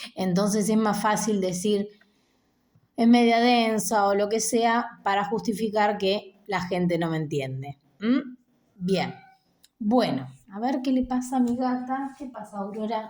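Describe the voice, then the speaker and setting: A woman with a fairly high pitch talks at a fairly slow pace, her pitch varying in an ordinary way. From Argentina, Buenos Aires province (Chascomús). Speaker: musician and video blogger. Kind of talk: unscripted personal monologue.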